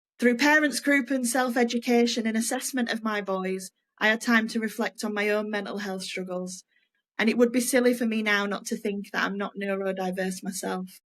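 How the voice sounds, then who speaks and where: A woman with a Yorkshire accent speaks at a moderate pace in a fairly high pitch, recorded very cleanly against a silent background. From Yorkshire, Leeds. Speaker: podcast co-host, former nurse. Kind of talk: casual podcast chat.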